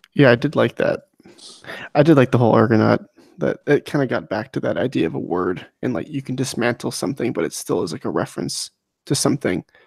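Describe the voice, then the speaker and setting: A man speaks quietly at a very fast pace, at medium pitch with very wide pitch swings and vocal fry. The sound is dry and close, without echo. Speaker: book discussion podcast co-host. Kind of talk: casual chat. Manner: quiet, holding back volume.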